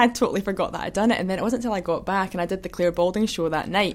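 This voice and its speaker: Speaking at a very fast pace, a woman with a Scottish accent uses a medium pitch and ordinary pitch variation. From Scotland, Kinross. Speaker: hurdler, athlete. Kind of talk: casual chat.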